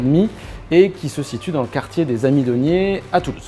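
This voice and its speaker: A man talks fairly quickly, his intonation lively, while noticeable background noise fills the recording. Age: 30s. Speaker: shop owner. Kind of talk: interview. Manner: hesitant, many fillers.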